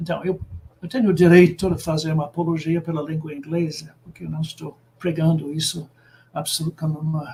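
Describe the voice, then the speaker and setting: This man's voice sits high in pitch with a dark, mellow tone. His intonation stays fairly even. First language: English (speaking Portuguese). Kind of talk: lecture. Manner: halting, many filler sounds.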